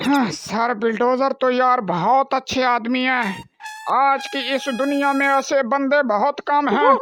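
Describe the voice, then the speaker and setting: A man's cartoonish character voice at an extremely high pitch. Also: fairly slow pace. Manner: deferential, addresses everyone as sahib.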